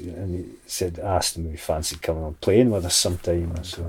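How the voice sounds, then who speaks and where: A man's very deep, low voice, somewhat breathy, in a Scottish accent with fairly even intonation. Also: very clean recording, silent background. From Scotland, Dumfries. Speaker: shepherd and singer-songwriter. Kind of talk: casual interview chat. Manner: halting, many repetitions and fillers.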